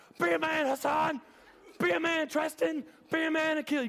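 A man puts on a character voice. His pitch is extremely high. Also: moderate pace. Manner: taunting, urging.

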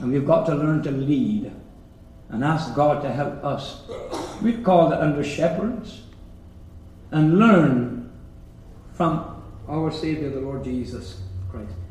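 Over noticeable background noise, a man speaks at a very slow pace in a fairly high voice with lively intonation and long, frequent pauses. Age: 70s. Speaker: preacher. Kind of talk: sermon. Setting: church.

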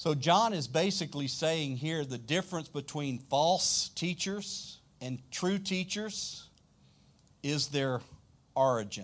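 Lively intonation marks this man's speech in a Louisiana accent. His pitch sits fairly high, and his pace is very slow. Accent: Southern US (Louisiana). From South Louisiana, US. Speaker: pastor. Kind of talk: sermon. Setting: church.

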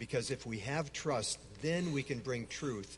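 An American-accented man speaks at a fairly slow pace with ordinary pitch variation. His voice is somewhat breathy. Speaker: speaker on Islam, longtime Middle East missionary.

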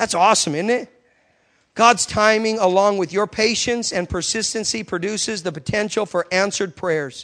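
At a moderate pace, a man speaks in a high pitch with ordinary pitch variation and an animated tone. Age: 30s. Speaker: guest preacher. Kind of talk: sermon. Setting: church with congregation.

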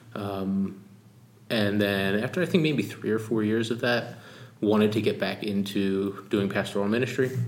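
A man with an American accent and a fairly low pitch speaks at a moderate pace with fairly even intonation and very even loudness, with audible room echo around him. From US Northeast, Philadelphia. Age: 30s. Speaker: pastor. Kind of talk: interview.

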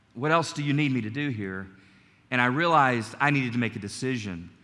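Quick-ish and bright with a sharp edge, this American-accented voice carries some audible room echo. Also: man. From US South, North Carolina. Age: 40s. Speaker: preacher. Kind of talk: Sunday church sermon, personal testimony and exhortation, closing in prayer. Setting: church service with congregation. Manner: earnest, conversational preaching with frequent stumbles and repeated words; warm, gentle and calm, sincere rather than fiery.

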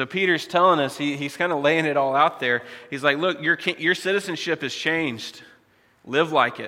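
A man speaks with a fairly high pitch at a moderate pace. His pitch varies in an ordinary way, while his loudness swings widely. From United States. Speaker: pastor. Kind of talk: sermon. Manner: halting, many fillers.

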